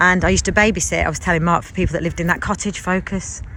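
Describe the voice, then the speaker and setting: Noticeable background noise sits behind a woman speaking at a medium pitch and a fairly quick pace. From English Midlands, Leicestershire. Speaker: vlogger. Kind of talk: casual vlog narration. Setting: outdoors in a village and in a van.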